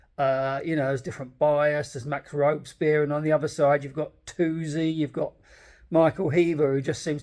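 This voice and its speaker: A man with an English accent speaks at a moderate pace and a fairly high pitch. The recording is very clean, with a silent background. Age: 60s. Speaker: political commentator. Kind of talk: casual monologue. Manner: halting.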